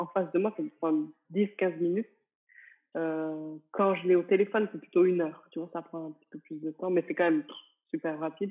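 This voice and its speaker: Over a quiet background, a woman with fairly low pitch talks at a fairly quick pace, her intonation fairly even, her loudness swinging widely, and her pauses long and frequent. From France, small village. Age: 30s. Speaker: entrepreneur and business coach; interviewee. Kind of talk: interview. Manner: casual, hesitant with many fillers. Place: home room. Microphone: earbuds.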